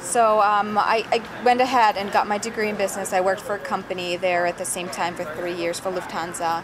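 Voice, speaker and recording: A woman talks at a fairly quick pace with hardly any pauses and fairly even intonation. Audible room echo and noticeable background noise fill the recording. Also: medium pitch for a woman. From northern Germany. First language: German. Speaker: actress. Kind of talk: interview. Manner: halting, many fillers.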